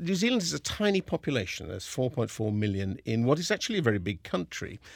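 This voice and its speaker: In a very clean recording with a silent background, a man with a southern English accent talks at a fairly quick pace, his pitch swinging very widely. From southern England (Kingston upon Thames). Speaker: opera company general director. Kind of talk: interview monologue. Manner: hesitant, with fillers and repetitions.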